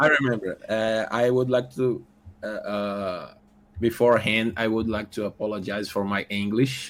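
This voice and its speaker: Speaking with a Portuguese accent, a man keeps his intonation fairly even. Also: medium pitch for a man, moderate pace. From Brazil. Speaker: podcast guest. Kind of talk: casual chat. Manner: halting, hesitant.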